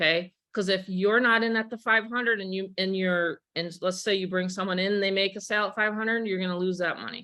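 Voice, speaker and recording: Her pitch is medium. This woman speaks fairly fast. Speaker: online business promoter. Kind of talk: webinar presentation. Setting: video call.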